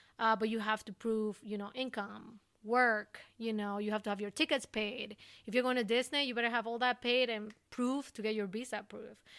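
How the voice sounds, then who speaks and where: A woman with an Ecuadorian accent speaks at a moderate pace with fairly high pitch and fairly even intonation, recorded very cleanly against a silent background. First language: Spanish. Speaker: recruiter. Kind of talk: podcast interview.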